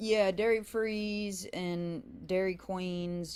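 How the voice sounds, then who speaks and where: A woman is talking. Her pitch varies in an ordinary way. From western Kentucky, Mississippi River area (Hickman). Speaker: singer-songwriter. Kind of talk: radio interview.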